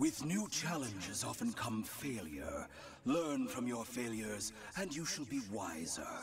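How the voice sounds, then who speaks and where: A man's put-on character voice at medium pitch, moderate pace, with clear background noise. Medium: video game. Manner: measured, authoritative.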